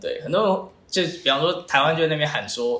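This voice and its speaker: A man talks at a moderate pace, his voice carrying audible room echo amid noticeable background noise. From Taiwan. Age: 20s. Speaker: startup founder. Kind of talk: interview.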